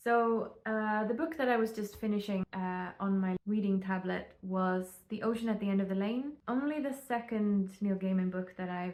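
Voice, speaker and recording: A woman at medium pitch, talking at a moderate pace with fairly even intonation. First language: not English. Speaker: book vlogger. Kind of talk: casual vlog monologue. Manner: hesitant, many fillers.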